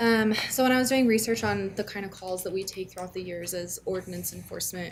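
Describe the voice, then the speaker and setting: A soft-spoken woman at a very fast pace with ordinary pitch variation, amid noticeable background noise and audible room echo. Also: medium pitch for a woman. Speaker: city ordinance enforcement staff. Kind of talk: public meeting presentation. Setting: city council meeting. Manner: hesitant, many fillers. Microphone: too far from microphone, hard to hear.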